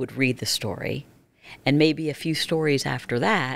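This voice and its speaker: A woman with an American accent speaks at a very deep, low pitch with vocal fry. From northeastern Pennsylvania. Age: 60s. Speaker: former TV news anchor and author; former TV news anchor. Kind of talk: interview testimony. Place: studio. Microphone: studio mic.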